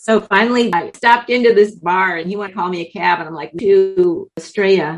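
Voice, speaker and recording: In an unremarkable speaking voice, a woman talks at a fairly quick pace with hardly any pauses, a medium pitch, ordinary pitch variation and big swings in loudness. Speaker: author and traveler. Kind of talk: interview.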